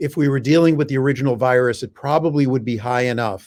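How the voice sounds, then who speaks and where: Recorded very cleanly against a silent background, a man with an ordinary speaking voice talks at a moderate pace in a medium pitch with fairly even intonation. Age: 60s. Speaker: physician and medical expert. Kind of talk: radio interview.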